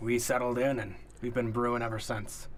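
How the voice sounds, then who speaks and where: A man puts on a raspy character voice at a medium pitch and a fairly quick pace. Clear background noise runs underneath. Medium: actual play. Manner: proud, boastful about his ale.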